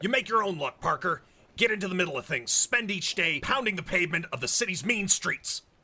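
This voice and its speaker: A man uses a put-on character voice, high-pitched and raised to project, moving at a fairly quick pace. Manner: gruff, dismissive.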